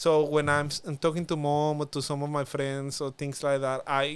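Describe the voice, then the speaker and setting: In a very clean recording with a silent background, a man with a strong Spanish accent speaks at a fairly high pitch. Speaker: former international student, youth policy officer. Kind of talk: casual podcast interview. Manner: halting, many fillers.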